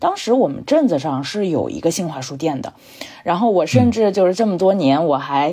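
Against noticeable background noise, a woman speaks at a fairly quick pace with a fairly low pitch and very wide pitch swings. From southern Jiangsu, China. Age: 30s. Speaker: book editor, former bookstore worker, podcaster. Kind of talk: casual chat.

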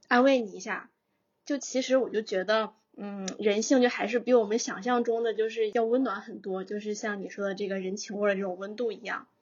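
With a plain, everyday voice, a woman speaks at a fairly quick pace and a fairly high pitch, her intonation fairly even. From northern China. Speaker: podcast host. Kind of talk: casual chat.

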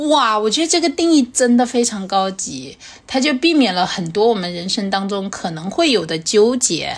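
Animated in tone, a woman speaks at a moderate pace with a fairly high pitch and very wide pitch swings, over noticeable background noise. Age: 40s. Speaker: podcast host and comedian. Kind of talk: casual chat.

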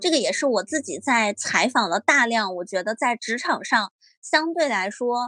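Music plays in the background while a woman with a high pitch and lively intonation speaks, the sound dry and close with no echo. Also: moderate pace. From northern China, small town. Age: 20s. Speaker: author. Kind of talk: casual chat. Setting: remote recording from a friend's home. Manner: halting, with frequent fillers.

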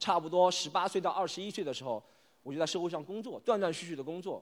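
A man speaks at a fairly quick pace. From Shanghai, Yangpu district. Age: 30s. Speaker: stand-up comedian. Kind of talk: stand-up. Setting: stage with audience.

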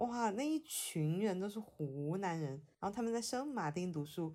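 A woman speaks with a Hunan accent at a medium pitch, her tone dark and mellow. Her intonation is lively, and the recording is very clean with a silent background. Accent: Mandarin with a Hunan tinge. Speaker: podcast host. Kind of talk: casual chat.

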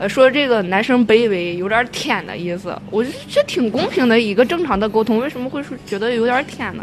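A woman talks at a fairly quick pace with hardly any pauses, her pitch fairly high and her intonation lively. Her loudness swings widely, and there is noticeable background noise. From Inner Mongolia. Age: 30s. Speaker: dating podcast host. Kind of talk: casual chat.

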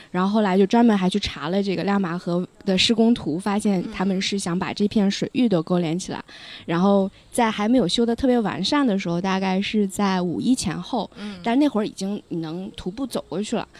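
In a plain, everyday voice, a woman at a medium pitch talks at a fairly quick pace with ordinary pitch variation. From Lanzhou, northwest China. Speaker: podcast guest. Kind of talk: casual chat. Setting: outdoors by a river.

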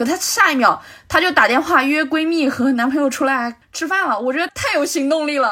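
Against noticeable background noise, a woman with a high-pitched voice speaks fairly quickly in a raised, projected voice with ordinary pitch variation. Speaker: film podcast guest. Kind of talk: casual film discussion.

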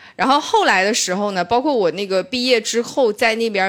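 With very wide pitch swings, a woman speaks at a moderate pace in a northeastern Chinese accent. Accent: northeastern Mandarin. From Shenyang, northeast China. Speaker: stand-up comedian. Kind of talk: casual chat.

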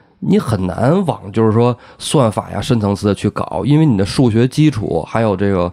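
A man talks at a moderate speed, his pitch rising and falling in an ordinary way. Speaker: podcast co-host. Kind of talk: casual chat. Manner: animated.

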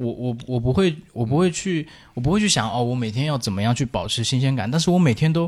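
Lively intonation marks delivery that rushes at a very fast pace. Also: man, medium pitch for a man. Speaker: podcast co-host. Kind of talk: casual chat, music sharing.

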